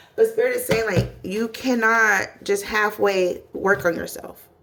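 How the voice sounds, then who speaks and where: A woman speaks over noticeable background noise. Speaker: tarot reader. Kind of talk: tarot reading monologue. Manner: animated, casual; stumbling over words.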